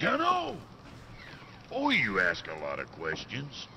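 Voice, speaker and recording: Using a put-on character voice, a man speaks at a fairly slow pace against clear background noise. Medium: game stream. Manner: gruff, blunt, joking.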